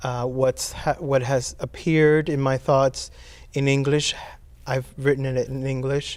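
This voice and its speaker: At a fairly slow pace, a man speaks with a fairly high pitch and monotone, flat intonation. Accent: Spanish. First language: Spanish. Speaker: poet. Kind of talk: interview. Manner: halting.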